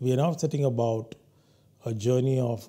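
Speaking at a moderate pace, a man has a dark, mellow tone that is somewhat breathy. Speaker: guest lecturer. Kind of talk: lecture. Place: studio. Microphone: lapel.

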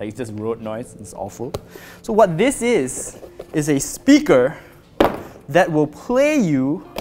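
A man's voice swings very widely in pitch. Light background noise can be heard. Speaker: product reviewer. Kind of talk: unboxing commentary. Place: office. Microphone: lapel.

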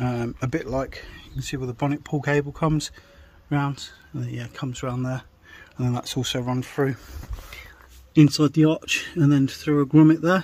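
A man speaks at a medium pitch and moderate pace, his slightly mellow tone and fairly even intonation broken by long, frequent pauses.

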